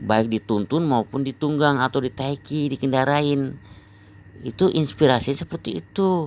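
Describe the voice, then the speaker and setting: Using an ordinary speaking voice, a man talks at a moderate pace with fairly high pitch and ordinary pitch variation. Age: 60s. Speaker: health exercise practitioner vlogger. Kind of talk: personal testimony monologue. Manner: rambling, repetitive.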